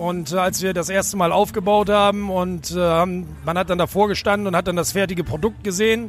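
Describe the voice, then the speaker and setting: A man's high-pitched voice with ordinary pitch variation, over noticeable background noise. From Bremen. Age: 40s. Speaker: fairground ride operator. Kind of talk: interview. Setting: outdoors at a fairground. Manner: hesitant with fillers.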